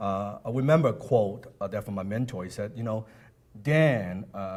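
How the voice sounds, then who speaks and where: In a fairly low-pitched voice, a man keeps up a moderate pace. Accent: non-native. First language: not English. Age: 30s. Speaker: motivational speaker. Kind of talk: motivational seminar talk. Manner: animated.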